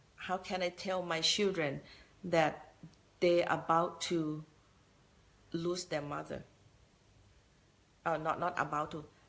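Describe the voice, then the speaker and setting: The pace is very slow, with long, frequent pauses and a Thai accent. Intonation stays monotone and flat. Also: woman, fairly low pitch for a woman, very clean recording, silent background. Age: 60s. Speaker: business motivational speaker. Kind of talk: motivational talk. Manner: halting.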